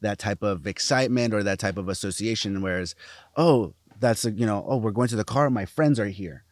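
Recorded very cleanly against a silent background, a man with a plain, everyday voice talks at a fairly quick pace and fairly low pitch, with ordinary pitch variation. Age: 20s. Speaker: podcast co-host. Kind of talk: casual Q&A chat.

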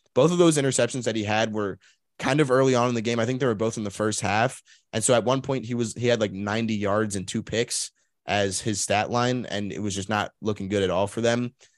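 A man with an ordinary speaking voice talks at a fairly quick pace and medium pitch with ordinary pitch variation against a quiet background. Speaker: sports podcast host. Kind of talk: casual sports podcast chat.

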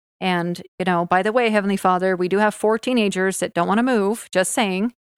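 In a plain, everyday voice, a woman with an American accent speaks at a medium pitch with fairly even intonation, in a dry, close sound with no echo on a very clean recording with a silent background. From Utah. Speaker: podcast host. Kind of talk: casual chat. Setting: at home on the couch.

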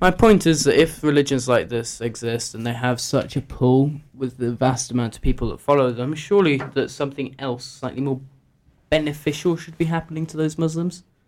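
Using an unremarkable speaking voice, a man talks at a fairly quick pace with a fairly high pitch and ordinary pitch variation. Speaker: guest panellist. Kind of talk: casual group discussion.

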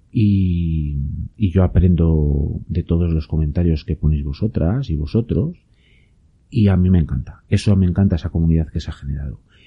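A man speaks in a very deep, low pitch with a Spanish accent. His pace is moderate and his pitch variation ordinary. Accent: Peninsular Spanish. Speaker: podcast host and YouTuber on permaculture. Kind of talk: casual solo talk to listeners. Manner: hesitant, many fillers.

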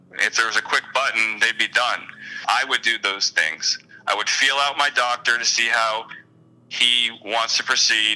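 With noticeable background noise behind him, a man speaks at a medium pitch and a moderate pace with fairly even intonation. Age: 30s. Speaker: online support group moderator. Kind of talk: casual interview.

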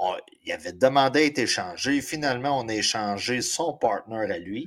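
The speaker uses lively intonation at a fairly slow pace in a very clean recording with a silent background. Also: man. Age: 40s. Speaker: fantasy football podcast co-host. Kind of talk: casual chat.

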